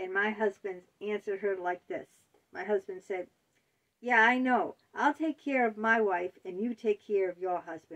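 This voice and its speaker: Against a quiet background, a woman of medium pitch talks at a moderate pace in a normal speaking voice, with ordinary pitch variation and big swings in loudness. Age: 50s. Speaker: author and video blogger. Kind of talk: personal monologue. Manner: conversational, with fillers. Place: home room. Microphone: phone near.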